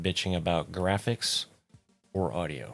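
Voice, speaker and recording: Over music in the background, a man with a very deep, low pitch speaks in a monotone, flat intonation. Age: 40s. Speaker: gaming YouTuber. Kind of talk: gameplay commentary. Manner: casual, rambling with fillers. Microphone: new foam cover on mic, no de-esser.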